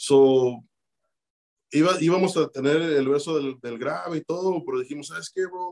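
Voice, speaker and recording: Speaking fairly slowly in an unremarkable speaking voice, a man pitched fairly high lets his pitch vary in an ordinary way. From Chicago, Mexican-born. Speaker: rapper. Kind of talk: casual interview.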